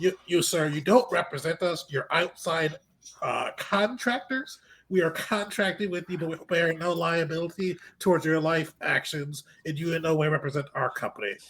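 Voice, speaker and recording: Using a put-on character voice, a man speaks nasally at a moderate pace with a high pitch and ordinary pitch variation. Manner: snooty, condescending.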